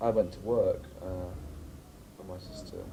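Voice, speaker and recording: Somewhat breathy and dark, mellow in tone, a man's voice carries audible room echo. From Scotland (Grampians). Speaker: drag performer. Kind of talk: documentary interview.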